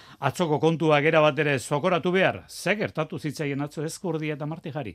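A man's plain, everyday voice, pitched fairly high. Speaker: radio sports host. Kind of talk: sports news and interviews.

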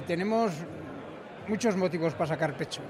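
A man talks at a high pitch, with noticeable background noise and audible room echo in the recording. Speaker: butcher. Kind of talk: interview.

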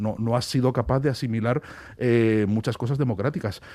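A man speaks at a moderate pace in a plain, everyday voice, his pitch in the medium range. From Spain. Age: 40s. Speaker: author. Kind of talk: radio interview.

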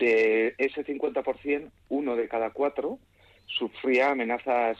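A man's medium-pitched, normal speaking voice holds fairly even intonation in a dry, close sound with no echo. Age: 40s. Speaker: physicist. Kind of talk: radio interview.

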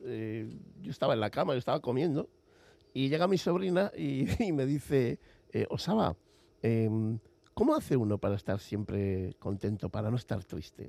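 Set against a quiet background, a man with a dark, mellow tone talks at a fairly slow pace using very wide pitch swings. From Basque Country, Spain (Villabona, Gipuzkoa). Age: 50s. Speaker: writer and publisher. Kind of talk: interview. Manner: halting.

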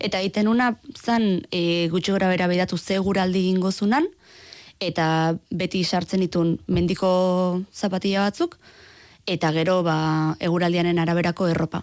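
On a very clean recording with a silent background, a woman speaks at a medium pitch with fairly even intonation and very even loudness. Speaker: student traveller. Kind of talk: radio interview. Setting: studio.

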